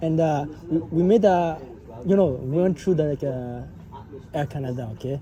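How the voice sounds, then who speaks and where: Speech comes at a moderate pace with long, frequent pauses. Background noise is noticeable. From Quebec, Montreal. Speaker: travel vlogger. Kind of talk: casual chat. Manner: halting.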